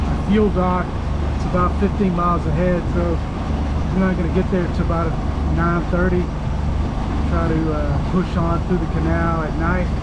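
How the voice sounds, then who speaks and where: A man with long, frequent pauses and ordinary pitch variation amid loud background noise. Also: moderate pace. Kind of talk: casual vlog chat. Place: boat. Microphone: phone near.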